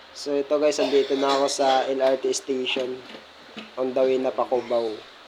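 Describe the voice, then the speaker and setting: This man is soft-spoken, with a medium pitch and monotone, flat intonation. He talks at a moderate pace. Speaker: vlogger. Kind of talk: casual vlog. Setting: outdoors, LRT and bus terminal. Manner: soft, quiet.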